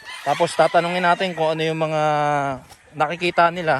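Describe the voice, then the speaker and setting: The man's voice is fairly high and his pace fairly quick. Noticeable background noise can be heard. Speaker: vlogger touring a gamefowl farm. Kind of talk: casual vlog narration.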